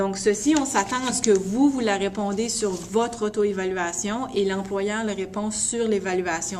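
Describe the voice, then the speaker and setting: Room echo is audible as a woman speaks. Noticeable background noise runs underneath. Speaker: college internship supervisor. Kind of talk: instructional video message to students.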